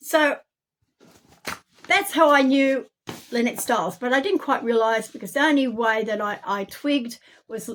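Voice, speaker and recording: A woman talks at a moderate pace with an Australian accent. The recording is very clean, with a silent background. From Australia, Campbelltown NSW. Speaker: self-made video narrator. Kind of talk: personal testimony monologue. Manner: halting, many fillers.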